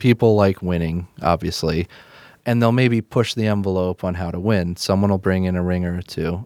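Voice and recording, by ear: Recorded very cleanly against a silent background, dry and close with no echo, a man with a Midwestern accent speaks at a moderate pace in a very deep, low pitch with fairly even intonation. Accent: general Midwestern American.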